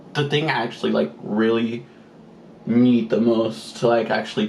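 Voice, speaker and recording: A man speaks at a moderate pace with a medium pitch and lively intonation. Noticeable background noise runs under his voice. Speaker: beauty vlogger. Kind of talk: casual chat.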